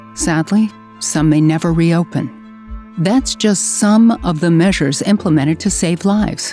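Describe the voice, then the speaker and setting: Music plays in the background as a woman speaks at a moderate pace. Her pitch is fairly low. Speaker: voice over narrator of a public service announcement. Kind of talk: PSA narration.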